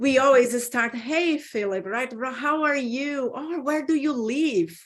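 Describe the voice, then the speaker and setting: The speaker has a Brazilian Portuguese accent and talks at a fairly slow pace with ordinary pitch variation. The recording is very clean, with a silent background. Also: woman. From Brazil, Sao Paulo. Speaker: business consultant. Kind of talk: interview.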